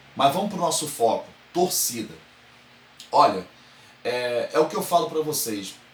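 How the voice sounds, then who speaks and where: Amid noticeable background noise, a man speaks in an animated tone at a fairly high pitch. His pace is fairly slow, with long, frequent pauses and very wide pitch swings. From Brazil, Rio de Janeiro. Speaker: football fan commentator, online show host. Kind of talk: opinion monologue to camera.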